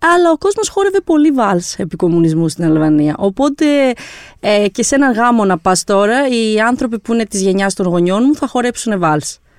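A woman talks at a moderate pace in a fairly high voice, her pitch swinging very widely. Her loudness stays very even, and the sound is dry and close with no echo. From Albania, raised in Greece from 1997. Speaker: journalist, editor. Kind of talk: podcast interview.

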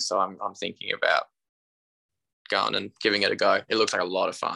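A man with an Australian accent talks at a fairly quick pace, in a dry, close sound with no echo. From Tasmania, Australia. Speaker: musician and runner. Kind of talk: casual chat.

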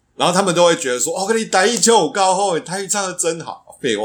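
The speaker talks at a very fast pace in a Taiwanese accent. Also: man. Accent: Taiwanese-accented Mandarin. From Taiwan, Tainan. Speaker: podcast co-host. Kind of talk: casual chat.

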